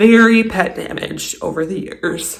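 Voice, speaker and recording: A woman speaks at a fairly slow pace with ordinary pitch variation. Audible room echo is present. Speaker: DIY home renovation vlogger. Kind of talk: casual vlog narration. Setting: indoors at home.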